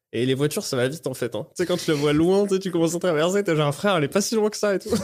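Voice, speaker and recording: Speech runs at a very fast pace with ordinary pitch variation. The recording is very clean, with a silent background. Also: man. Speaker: stand-up comedian. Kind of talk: casual chat. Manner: halting.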